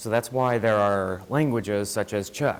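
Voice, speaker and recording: A man speaks at a moderate pace in a fairly low voice. His pitch shows ordinary variation. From US Midwest (Joplin, Missouri). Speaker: student presenter. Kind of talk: student seminar presentation. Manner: soft-spoken.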